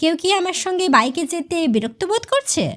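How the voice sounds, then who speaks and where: A woman puts on a squeaky character voice at an extremely high pitch, with very wide pitch swings at a moderate pace. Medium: read story. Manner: soft, calm.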